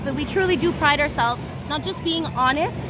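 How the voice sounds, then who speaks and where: A raised, projected voice carries a Canadian accent. Noticeable background noise and audible room echo are present. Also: woman. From Canada. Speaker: real estate agent. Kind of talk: casual interview. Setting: outdoors at a beach.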